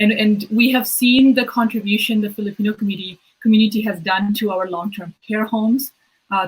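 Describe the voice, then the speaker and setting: Her voice is somewhat breathy, with a medium pitch. The woman keeps a moderate pace and fairly even intonation. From Bangladesh, moved to Toronto as a child in 1999. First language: Bengali. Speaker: politician. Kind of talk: interview. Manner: halting, with many repeats and fillers.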